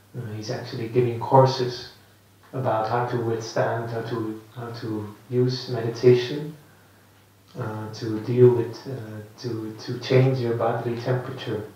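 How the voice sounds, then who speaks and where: Over noticeable background noise and audible room echo, a man with a Dutch accent speaks at medium pitch in a monotone, flat intonation, at a fairly slow pace with big swings in loudness. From Netherlands. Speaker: Buddhist monk teacher. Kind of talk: dharma talk. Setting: meditation centre with audience. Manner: halting.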